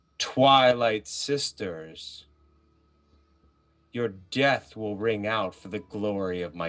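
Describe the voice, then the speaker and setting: Over faint music in the background, a man uses a booming, fairly low-pitched, put-on character voice with lively intonation at a very slow pace. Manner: defiant, challenging, declamatory.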